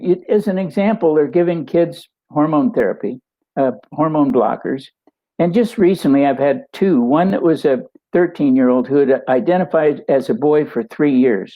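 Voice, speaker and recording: The intonation is lively, in an American accent. The pace stays moderate. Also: man. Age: 80s+. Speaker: detransition advocate and author. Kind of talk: interview.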